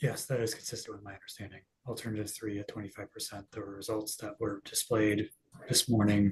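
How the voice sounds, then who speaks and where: Quiet and somewhat breathy, a man talks at a very fast pace and fairly low pitch in a monotone, flat intonation, with big swings in loudness. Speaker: expert witness. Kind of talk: hearing testimony. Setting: public hearing. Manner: quiet, hard to hear; halting.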